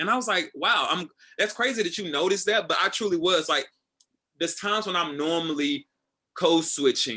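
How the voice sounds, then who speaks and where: Loud and animated, a man speaks in a high, bright, sharp tone with lively intonation and an American accent. His pace is fairly quick, and the background is quiet. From Tennessee. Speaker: assistant director. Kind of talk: casual interview.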